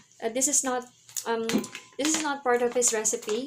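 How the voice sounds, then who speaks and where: Over noticeable background noise, a woman with a Filipino accent speaks at a fairly high pitch with ordinary pitch variation. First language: Tagalog. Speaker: health vlogger. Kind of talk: tutorial. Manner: halting, many fillers.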